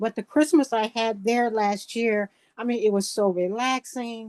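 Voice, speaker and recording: A woman speaks at a moderate pace in a fairly high pitch with a dark, mellow tone and ordinary pitch variation, in a dry, close sound with no echo. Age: 60s. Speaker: former treatment program client sharing in a support group. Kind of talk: emotional sharing in online support group. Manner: halting, many fillers and repetitions.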